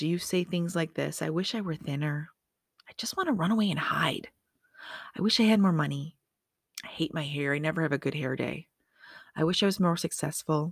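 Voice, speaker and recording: With a fairly low pitch and ordinary pitch variation, a woman speaks in an animated tone at a fairly quick pace with long, frequent pauses, in a dry, close sound with no echo on a very clean recording with a silent background. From Michigan. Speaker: motivational speaker and podcast host. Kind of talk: motivational monologue.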